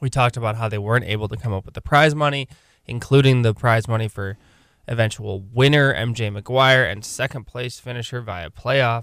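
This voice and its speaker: A man with a Michigan accent, medium pitch, ordinary pitch variation, big swings in loudness and a fairly quick pace, on a very clean recording with a silent background. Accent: Michigan general American. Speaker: podcast and radio host. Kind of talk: casual sports chat.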